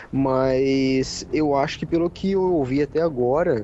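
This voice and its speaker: The man's delivery is fairly slow. There is noticeable background noise throughout. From São Paulo, Brazil. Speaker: podcast co-host. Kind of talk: casual chat.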